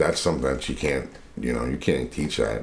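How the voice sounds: Speaking at a fairly quick pace, a man with an extremely low, raspy voice uses ordinary pitch variation.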